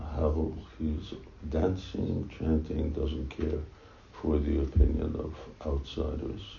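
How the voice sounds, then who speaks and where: A man with a very deep, low pitch speaks at a very slow pace in a monotone, flat intonation. Long, frequent pauses break his speech, with noticeable background noise behind him. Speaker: spiritual teacher officiating initiation. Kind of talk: ceremony address. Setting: temple room with microphone. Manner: halting, many fillers.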